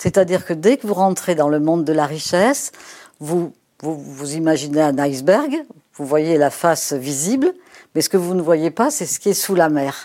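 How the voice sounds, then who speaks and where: A dark, mellow tone with ordinary pitch variation moves at a moderate pace over a very clean recording with a silent background. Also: woman, very deep, low pitch for a woman. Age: 70s. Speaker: sociologist. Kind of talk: interview. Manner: hesitant, many fillers.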